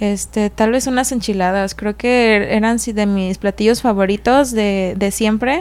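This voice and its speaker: Speaking at a fairly slow pace, a woman uses an ordinary speaking voice with fairly high pitch and fairly even intonation. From Mexico, Puerto Vallarta (Jalisco coast). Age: young. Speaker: restaurant owner. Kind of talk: casual interview chat.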